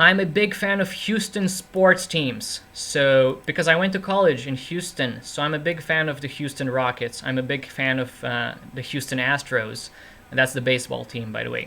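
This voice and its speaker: A man speaks at a moderate pace with hardly any pauses and a fairly high pitch. His tone is bright and sharp, his intonation lively. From Romania. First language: Romanian. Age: 20s. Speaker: chess streamer and commentator. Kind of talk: live stream commentary and chat. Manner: casual, chatty.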